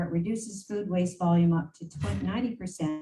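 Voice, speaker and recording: A woman speaks at a moderate pace in a medium pitch. Her voice is somewhat breathy, with a dark, mellow tone. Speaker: mayor. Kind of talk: council meeting presentation. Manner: hesitant, with fillers.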